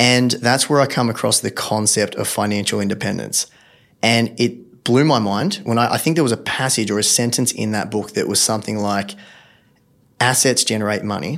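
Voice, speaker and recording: A man at a medium pitch with an Australian accent, moderate pace and ordinary pitch variation. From regional Victoria, Australia. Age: 30s. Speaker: personal finance blogger and podcaster. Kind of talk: casual interview chat.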